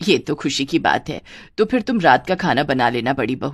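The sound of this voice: A woman does a put-on character voice, pitched extremely low, with big swings in pitch. The recording is very clean with a silent background, and the pace is moderate.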